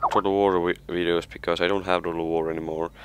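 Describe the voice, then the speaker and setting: With an Estonian accent, a man speaks at a very deep, low pitch with fairly even intonation. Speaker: gaming youtuber. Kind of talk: casual gameplay commentary. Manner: halting, hesitant with many fillers.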